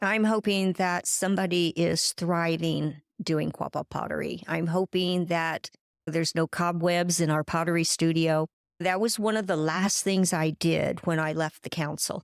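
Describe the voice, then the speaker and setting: A woman at a moderate pace, fairly low in pitch, with monotone, flat intonation and very even loudness, in a dry, close sound with no echo on a very clean recording with a silent background. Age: 70s. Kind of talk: interview.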